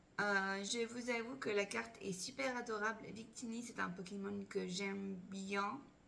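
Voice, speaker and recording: A woman's voice with lively intonation, audible room echo and noticeable background noise. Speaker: Pokémon card collector YouTuber. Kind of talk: unboxing video chat. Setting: at home.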